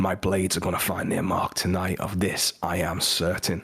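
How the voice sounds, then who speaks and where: A man speaks in a put-on character voice, raspy and pitched very deep and low. His delivery is monotone and flat at a moderate pace. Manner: menacing, certain.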